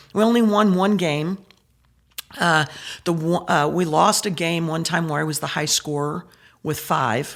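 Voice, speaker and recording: A woman with a southern Illinois accent speaks at a fairly slow pace, her pitch fairly low with ordinary variation. She leaves long, frequent pauses. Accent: Midwestern American (southern Illinois). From Southern Illinois / Metro East, US Midwest. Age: 60s. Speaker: state senator. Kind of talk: casual interview conversation.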